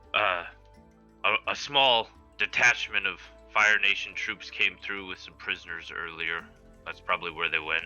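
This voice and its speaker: Over faint background music, a man puts on a character voice at a fairly low pitch, moving at a moderate pace with long, frequent pauses and big swings in loudness. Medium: actual play.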